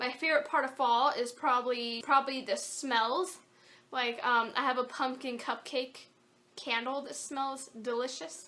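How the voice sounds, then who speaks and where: Raising and projecting her voice, a woman speaks at a fairly slow pace with a high pitch, a bright, sharp tone and fairly even intonation. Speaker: craft YouTuber. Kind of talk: Q&A vlog. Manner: casual, hesitant with fillers.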